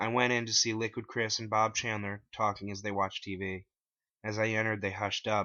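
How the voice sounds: A man at a moderate pace, with a fairly low pitch, little pitch movement and a bright, sharp tone.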